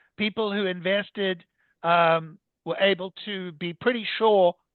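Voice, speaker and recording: The speaker has a South African accent and ordinary pitch variation. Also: man. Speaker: immigration lawyer. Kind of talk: podcast interview. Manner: hesitant with fillers.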